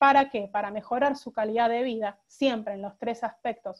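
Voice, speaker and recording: In a fairly high pitch, a woman speaks at a moderate pace with monotone, flat intonation. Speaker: lawyer on a panel. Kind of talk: online talk presentation. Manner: halting, many repetitions.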